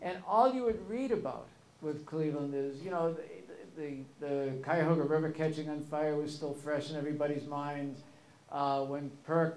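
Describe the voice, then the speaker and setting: A man talks with ordinary pitch variation at a moderate pace, and audible room echo is present. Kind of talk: storytelling talk. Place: hall. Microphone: podium.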